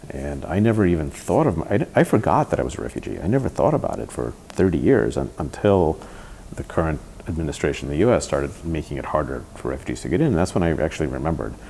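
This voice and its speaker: Noticeable background noise sits behind a man talking at a very fast pace. His pitch is very deep and low, and his intonation is lively. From New York (Bronx), raised from age eight after leaving the Soviet Union. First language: Russian. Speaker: tech entrepreneur. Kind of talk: interview. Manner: halting, many restarts and repeated words.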